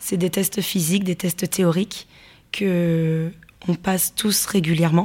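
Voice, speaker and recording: A woman's somewhat breathy voice, fairly low in pitch and dark and mellow in tone, with monotone, flat intonation at a fairly slow pace. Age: 20s. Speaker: football referee. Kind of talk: interview.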